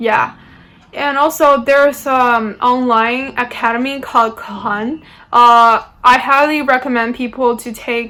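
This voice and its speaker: With a bright, sharp tone, a woman speaks at a fairly slow pace in a high voice with fairly even intonation. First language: not English. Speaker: university student. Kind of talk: informational talk. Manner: hesitant, many fillers.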